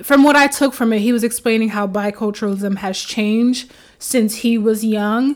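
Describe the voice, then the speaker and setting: A woman speaks with a New York accent. Her intonation is fairly even. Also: very clean recording, silent background. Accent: New York American English. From New York, Haitian American family. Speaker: podcast host and mental health counselor. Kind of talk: solo podcast monologue. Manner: casual, many filler words.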